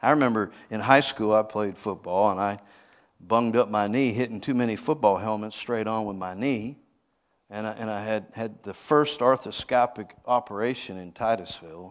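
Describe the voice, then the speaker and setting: A man speaks with a plain, everyday voice, fairly low in pitch, at a moderate pace. His intonation is fairly even, his loudness swings widely, and the background is quiet. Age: 50s. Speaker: apostle, guest preacher. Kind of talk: sermon. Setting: church.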